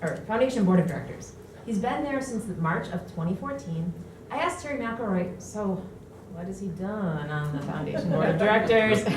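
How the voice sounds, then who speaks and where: Lively intonation from a woman, with noticeable background noise and audible echo in the room. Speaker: acting library director presenting an award. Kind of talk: award presentation speech. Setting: library community room with audience. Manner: loud.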